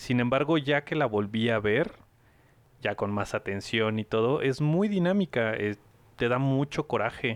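Speaking at a fairly slow pace with a Mexican accent, a man is heard in a dry, close recording with no echo and a quiet background. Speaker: podcast host. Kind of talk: casual chat.

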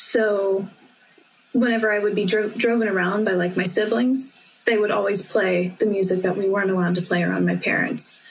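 Over noticeable background noise and audible room echo, someone with an American accent talks at a fairly quick pace with very even loudness. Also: woman, medium pitch for a woman. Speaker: university student. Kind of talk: casual chat. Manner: animated.

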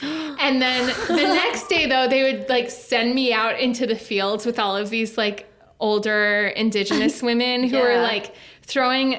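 Over noticeable background noise, a woman with an American accent and a high pitch speaks at a fairly slow pace, with ordinary pitch variation and very even loudness. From Minnesota. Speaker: podcast guest. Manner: chatty, frequent filler "like".

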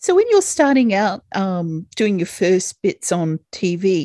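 A woman with an Australian accent is heard on a very clean recording with a silent background, the sound dry and close with no echo. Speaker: podcast host and yacht chef. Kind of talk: casual interview.

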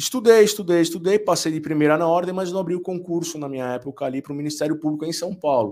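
Very fast, high male speech with ordinary rises and falls in pitch. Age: 40s. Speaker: business lawyer and law professor. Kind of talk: casual interview chat.

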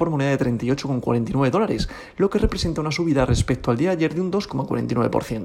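A man with a Spanish accent talks at a fairly quick pace and a fairly high pitch. His intonation is lively, and there is noticeable background noise. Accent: Peninsular Spanish. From Spain. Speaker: crypto podcast host. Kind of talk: daily market report.

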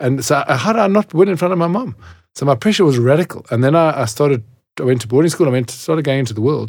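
A man with fairly high pitch speaks very fast and with lively intonation in a very clean recording with a silent background. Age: 50s. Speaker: podcast host and magazine editor. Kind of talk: casual chat.

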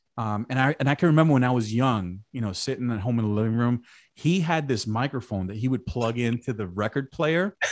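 Recorded with a quiet background and a dry, close sound with no echo, a man uses a normal speaking voice at medium pitch, with an American accent and lively intonation. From Brooklyn, New York. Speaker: communications director. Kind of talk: casual chat.

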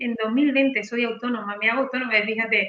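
Her voice is fairly high. The woman talks at a moderate pace. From Spain, Granada (Andalusia). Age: 40s. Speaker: sales closer. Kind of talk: interview. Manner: animated.

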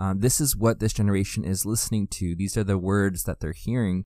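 With a Canadian accent, a man in an unremarkable speaking voice talks at a fairly low pitch and a fairly quick pace, with ordinary pitch variation, in a very clean recording with a silent background. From Canada, New Brunswick. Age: 30s. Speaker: youth pastor. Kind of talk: podcast monologue. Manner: casual, with frequent fillers.

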